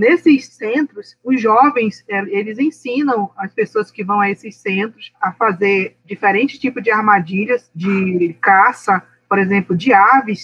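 Speaking fairly slowly with hardly any pauses, a woman has a plain, everyday voice, fairly high in pitch with ordinary pitch variation. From Brazilian Amazon, Alto Solimões. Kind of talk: interview conversation.

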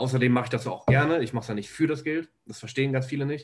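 A somewhat breathy man at medium pitch with fairly even intonation. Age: 20s. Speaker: videographer. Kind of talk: casual interview chat.

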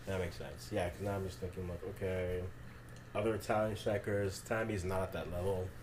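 With a very deep, low pitch and a somewhat breathy sound, a man speaks at a fairly quick pace and ordinary pitch variation. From Ghana. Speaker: football podcast co-host. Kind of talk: casual chat.

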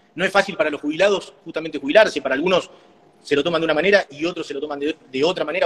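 Very fast and high-pitched for a man, he talks in a Rioplatense accent, recorded with a dry, close sound and no echo. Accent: Argentine Rioplatense Spanish. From Argentina, Patagonia (Trelew, Chubut). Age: 40s. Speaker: mayoral candidate, businessman. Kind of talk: interview.

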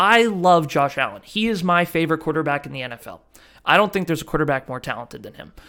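A man talks very fast in a fairly high, bright, sharp voice with lively intonation. The recording is very clean, with a silent background. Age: 20s. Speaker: sports podcast host. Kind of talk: solo sports talk monologue. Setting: video recording.

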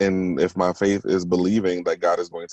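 A man's fairly low voice with an American accent, set against a quiet background. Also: dry, close sound with no echo. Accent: southern-sounding to northerners. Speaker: podcast host. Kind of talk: casual chat.

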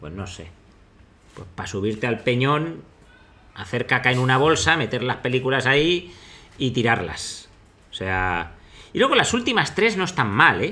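A man with a medium pitch and a bright, sharp tone speaks at a fairly slow pace, with very wide pitch swings, big swings in loudness and long, frequent pauses. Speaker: investor and podcast host. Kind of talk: casual chat.

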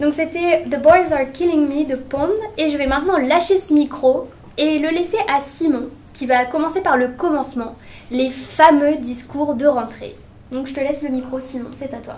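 A woman with a high-pitched voice and ordinary pitch variation speaks at a fairly slow pace over noticeable background noise. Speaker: student radio host. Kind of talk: student radio show hosting. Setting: studio.

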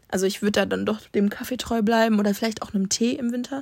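A woman speaks at a fairly quick pace with a fairly high pitch and ordinary pitch variation. She has a plain, everyday voice. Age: 20s. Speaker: student podcaster. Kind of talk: casual monologue.

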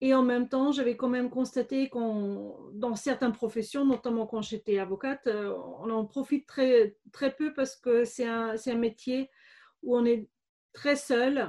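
A woman with a slight German accent, high-pitched with a dark, mellow tone, fairly even intonation and a fairly slow pace, over a quiet background. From Germany, Bavaria (Regensburg). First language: German (speaking French). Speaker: business coach, former lawyer. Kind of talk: interview. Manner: hesitant, many fillers.

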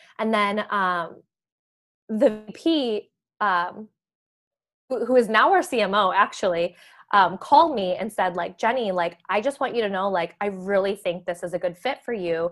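The speaker has an American accent and ordinary pitch variation. The pace is fairly slow. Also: woman, medium pitch for a woman. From US Midwest, Chicago suburbs. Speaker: marketing professional. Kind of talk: casual chat.

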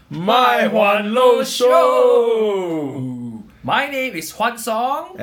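In a put-on character voice pitched high, a man talks at a very slow pace with audible echo. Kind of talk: radio announcer voice.

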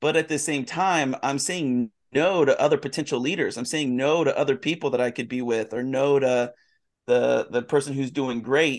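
Against a quiet background, a man uses a plain, everyday voice, speaking at a moderate pace with a fairly high pitch and fairly even intonation. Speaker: pastor. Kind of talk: casual chat.

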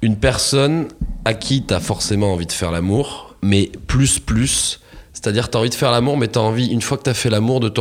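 Noticeable background noise accompanies a man speaking fairly quickly. His pitch is medium, with ordinary pitch variation. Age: 30s. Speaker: podcast guest. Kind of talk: casual chat. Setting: studio.

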